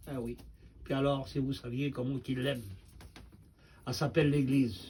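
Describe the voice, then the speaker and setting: At a moderate pace, a man speaks in a medium pitch with a dark, mellow, somewhat breathy tone and fairly even intonation, with audible room echo. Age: 70s. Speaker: preacher. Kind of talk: sermon.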